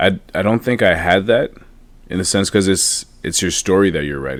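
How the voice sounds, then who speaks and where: At a moderate pace, a man talks with vocal fry and a very deep, low pitch. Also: ordinary pitch variation. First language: French. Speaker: motivational speaker and author. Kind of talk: podcast interview. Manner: halting, many repeats and fillers.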